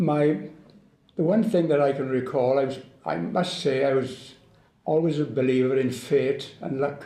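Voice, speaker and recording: A man speaks in a Welsh accent at a moderate pace, his tone dark and mellow with a fairly high pitch. Room echo is audible. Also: ordinary pitch variation. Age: 80s+. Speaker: war veteran. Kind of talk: testimony. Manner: halting.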